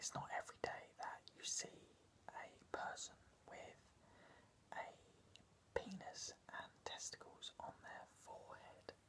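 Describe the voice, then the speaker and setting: Whispering at a very slow pace, a man speaks with long, frequent pauses. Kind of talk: casual comedic skit talk to camera. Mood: deadpan, hesitant. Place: home room. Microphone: phone near.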